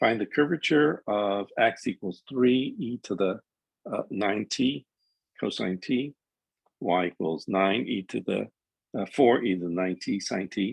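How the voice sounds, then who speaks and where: A man's fairly low-pitched voice at a fairly slow pace, in a dry, close sound with no echo. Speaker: math instructor. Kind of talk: lecture. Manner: halting.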